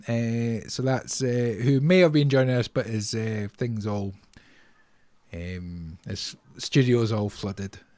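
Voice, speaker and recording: This man speaks with a Scottish accent at a fairly slow pace. His pitch is medium, with ordinary variation. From Scotland. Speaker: podcast host. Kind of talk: casual chat.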